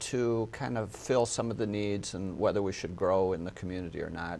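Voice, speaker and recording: A man with a slight Minnesota accent speaks in a fairly low pitch. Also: quiet background. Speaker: hospital executive. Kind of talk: interview.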